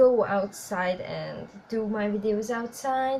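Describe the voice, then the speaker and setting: The speaker has a Hungarian accent and sounds somewhat breathy. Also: woman. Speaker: YouTuber. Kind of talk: casual vlog talk to viewers. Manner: halting, with fillers.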